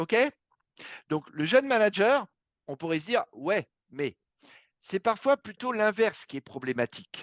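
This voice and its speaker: Delivered fairly slowly, the talk is broken up by long pauses that come often. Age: middle-aged. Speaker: recruiter and career coach. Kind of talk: workshop talk with audience questions.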